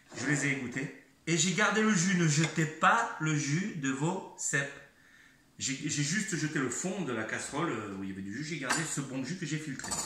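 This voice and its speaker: A man with a fairly high pitch and lively intonation speaks at a moderate pace amid noticeable background noise and audible room echo. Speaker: home cook making cooking videos. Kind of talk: cooking tutorial. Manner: halting, repeats words.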